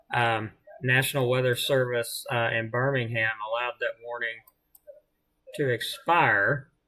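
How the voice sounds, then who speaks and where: A man in a Southern US accent, medium pitch, fairly slow pace, flat monotone intonation and long, frequent pauses. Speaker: amateur weather livestreamer. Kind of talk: live weather commentary. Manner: casual, hesitant with fillers.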